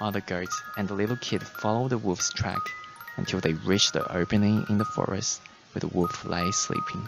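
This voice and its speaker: With music in the background, a man talks at a moderate pace and fairly low pitch, his intonation lively. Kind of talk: bedtime story narration, ASMR storytelling.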